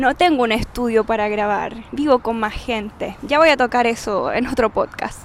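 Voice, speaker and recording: Over noticeable background noise, a woman with a Chilean accent talks with hardly any pauses, a fairly high pitch, and ordinary pitch variation. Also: moderate pace. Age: 30s. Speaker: podcaster. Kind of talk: personal monologue. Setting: outdoors on street. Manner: loud at times.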